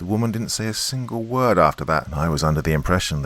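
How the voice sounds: Someone reads in a natural voice, the intonation lively throughout.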